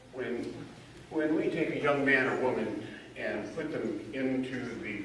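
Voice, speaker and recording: A man with audible room echo and noticeable background noise. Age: 70s. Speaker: judicial candidate. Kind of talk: candidate forum speech.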